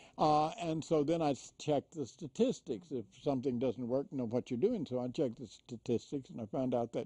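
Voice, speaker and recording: A man with a Texas accent, a fairly high pitch and a dark, mellow tone. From Houston area, Texas. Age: 70s. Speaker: prison reform activist. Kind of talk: interview storytelling. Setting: studio.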